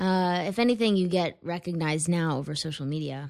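In an American accent, a woman with a plain, everyday voice speaks at a fairly low pitch and moderate pace, with ordinary pitch variation, on a very clean recording with a silent background. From Connecticut, US. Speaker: stand-up comedian. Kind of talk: casual chat.

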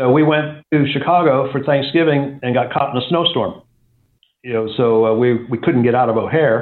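A man's plain, everyday voice with an American accent, moderate pace and fairly even intonation. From US South, Atlanta Georgia. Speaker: real estate company CEO. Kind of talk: interview.

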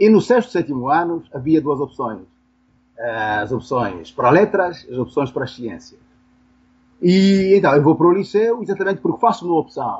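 Pausing long and often, a man speaks at a moderate pace with very wide pitch swings. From Angola (Benguela). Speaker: philosophy professor. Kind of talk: interview. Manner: halting, with frequent repetitions.

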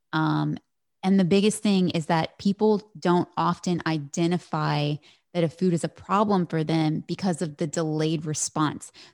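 With a plain, everyday voice, a woman speaks at a moderate pace and fairly low pitch on a very clean recording with a silent background and a dry, close sound with no echo. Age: 30s. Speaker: functional medicine physician. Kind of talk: interview.

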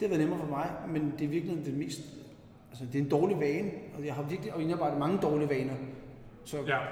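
A man with a fairly high pitch, a very fast pace broken by long, frequent pauses, fairly even intonation, audible room echo, and noticeable background noise. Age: 40s. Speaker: masters CrossFit athlete. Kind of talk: casual chat. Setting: gym, recorded on location.

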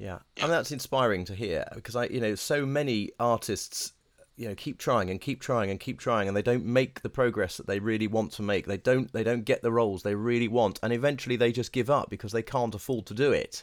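With a British accent, a man speaks at medium pitch and a fairly quick pace, using ordinary pitch variation. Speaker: podcast host, voice coach. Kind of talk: interview with scripted intro. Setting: video call.

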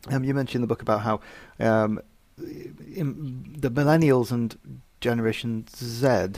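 A man in an ordinary speaking voice, with ordinary pitch variation. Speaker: podcast host. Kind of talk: casual interview chat.

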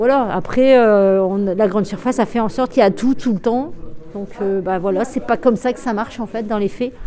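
The speech comes at a moderate pace with ordinary pitch variation. Noticeable background noise is present. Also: woman, fairly high pitch for a woman. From Brittany, France (Brest). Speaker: dairy farmer. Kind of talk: interview in a documentary report. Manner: hesitant, with fillers.

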